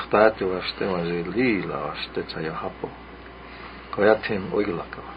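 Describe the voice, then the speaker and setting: Noticeable background noise runs under a man's fairly low voice. He keeps a moderate pace with ordinary pitch variation. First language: Lakota. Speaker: radio host. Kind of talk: radio storytelling show. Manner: halting, many fillers.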